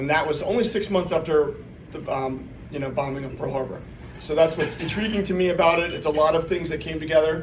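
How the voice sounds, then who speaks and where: Talking at a very fast pace in an American accent, a man has a fairly high pitch and ordinary pitch variation, with audible room echo and noticeable background noise. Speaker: presenter at club meeting. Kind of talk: informal presentation. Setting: meeting room with audience. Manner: loud; casual, filler-heavy.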